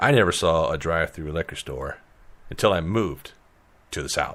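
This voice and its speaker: Lively intonation and vocal fry mark this man's very deep, low voice, spoken with a Midwestern US accent. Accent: northern US (Midwest). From Illinois. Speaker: podcast host. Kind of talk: casual chat. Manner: fast; animated.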